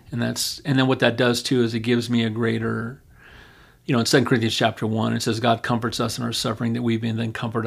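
The delivery is very fast and flat, in a monotone with vocal fry. It comes in an American accent. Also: man. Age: 60s. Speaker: pastor. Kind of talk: podcast interview about scripture.

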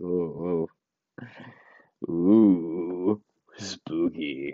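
Using a put-on character voice, the man pitches himself very deep and low. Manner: spooky, mocking, drawn-out.

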